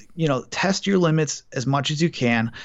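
A fairly high-pitched man's voice with a Wisconsin accent. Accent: Upper Midwest (Wisconsin). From Milwaukee, Wisconsin. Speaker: college football writer. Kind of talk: casual sports chat.

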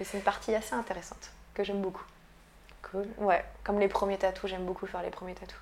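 Speaking very fast with monotone, flat intonation, a woman at a medium pitch shows big swings in loudness over noticeable background noise. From Brittany, France. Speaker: tattoo artist. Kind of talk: interview. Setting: tattoo shop. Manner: halting.

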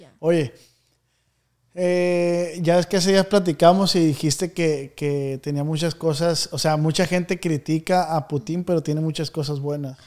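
Speaking in a northwestern Mexican accent, a man uses a fairly high pitch and fairly even intonation at a fairly slow pace, with big swings in loudness. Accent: northwestern Mexican Spanish (Sinaloa). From Mexico, Culiacán, Sinaloa. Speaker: podcast host. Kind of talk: casual chat. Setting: studio.

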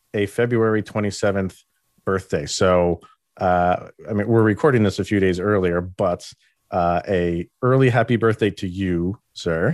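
On a very clean recording with a silent background, a man with a plain, everyday voice speaks at a fairly slow pace with ordinary pitch variation. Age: 30s. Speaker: sports podcast host. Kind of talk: casual chat.

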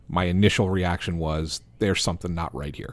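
A man with a Philadelphia accent, very deep and low in pitch, with fairly even intonation. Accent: Delco accent, some ticks. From Delaware County, Pennsylvania. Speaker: sports journalist. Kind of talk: casual chat.

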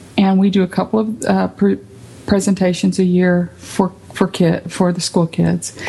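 Over noticeable background noise, a woman in an American accent talks at a moderate pace and medium pitch, her intonation monotone and flat. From South Texas, Rio Grande Valley. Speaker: arts center director. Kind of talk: radio interview.

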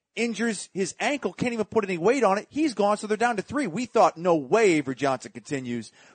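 A man's high-pitched, animated voice with very wide pitch swings, in a dry, close sound with no echo. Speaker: sports play-by-play announcer. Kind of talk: casual chat.

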